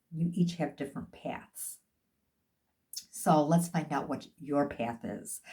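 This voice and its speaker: A woman's dark, mellow, somewhat breathy voice, fairly low in pitch, fairly slow, with lively intonation. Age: 60s. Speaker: life and health coach. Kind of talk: motivational talk.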